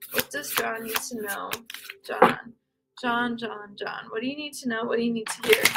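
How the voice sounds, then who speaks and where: Soft-spoken, a woman talks with a fairly high pitch. She keeps a moderate pace and fairly even intonation. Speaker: livestreamer doing card readings. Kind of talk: live stream chat with card reading. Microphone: quiet voice level.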